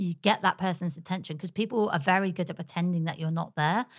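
This woman has an English accent. Her pitch sits fairly low. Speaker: podcast host. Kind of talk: casual chat. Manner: animated.

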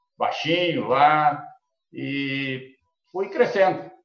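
With audible room echo, a man speaks at a fairly high pitch. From Brazil, Paraná (born São Paulo state, moved very young). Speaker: agribusiness cooperative executive. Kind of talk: interview. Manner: halting, many repetitions.

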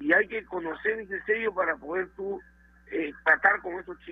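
A man with a high-pitched voice. He talks at a moderate pace with ordinary pitch variation. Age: 60s. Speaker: football coach. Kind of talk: interview.

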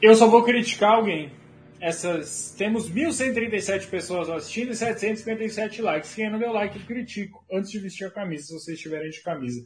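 A man talks in a high voice with ordinary pitch variation. His loudness swings widely. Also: moderate pace. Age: 20s. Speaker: football livestream host. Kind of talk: casual livestream chat. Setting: home office livestream.

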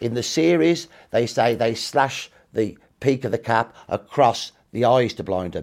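A man with a Brummie accent at a medium pitch, on a very clean recording with a silent background. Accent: Brummie (Birmingham) English. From Birmingham, England. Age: 60s. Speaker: historian. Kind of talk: interview.

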